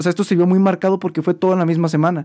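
A man's dark, mellow tone comes through on a very clean recording with total silence behind it. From Mexico, San Luis Potosí. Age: 20s. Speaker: student and small business owner. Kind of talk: casual interview chat.

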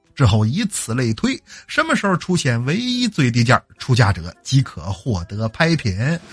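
Animated, somewhat breathy male voice at a medium pitch with a Northeastern Chinese accent, very wide pitch swings and a fairly slow pace, dry and close with no echo. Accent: Northeastern Mandarin. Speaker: podcast host and storyteller. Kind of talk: storytelling.

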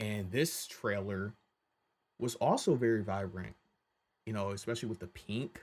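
In a very clean recording with a silent background, an ordinary speaking voice moves at a fairly slow pace with fairly even intonation. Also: man. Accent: American. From Michigan. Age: 20s. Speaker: podcast host, film commentator. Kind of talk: solo casual commentary. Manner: casual, many fillers.

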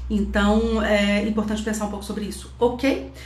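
Audible room echo and noticeable background noise around a woman's speech. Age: 40s. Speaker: Enneagram teacher and mentor. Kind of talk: online class / lecture. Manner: casual, conversational with filler tags.

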